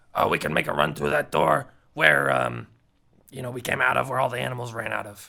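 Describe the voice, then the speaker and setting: Put-on male character voice, very deep and low, raspy and growling, with very wide pitch swings at a fairly quick pace. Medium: actual play.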